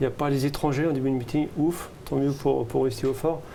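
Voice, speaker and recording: Noticeable background noise and audible room echo around a man's fairly high-pitched voice at a fairly quick pace. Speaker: horse racing tipster. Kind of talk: racing tips discussion. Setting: studio. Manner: fast; animated.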